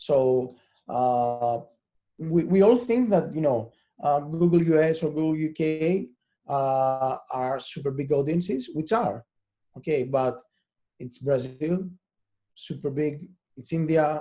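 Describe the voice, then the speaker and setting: A man with a Greek accent speaks at a very slow pace in a fairly high pitch, with a dark, mellow tone, ordinary pitch variation and long, frequent pauses. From Greece. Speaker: SEO specialist. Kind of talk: webinar talk. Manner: halting, many repeated words and fillers.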